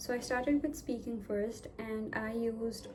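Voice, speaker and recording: In a room with audible echo, a woman with a fairly high pitch talks at a fairly slow pace. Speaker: vlogger. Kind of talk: tutorial. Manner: hesitant, filler words.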